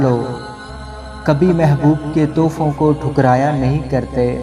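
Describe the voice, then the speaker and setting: Music plays in the background. A man speaks with a fairly high pitch and fairly even intonation. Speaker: radio jockey. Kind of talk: poetry reading.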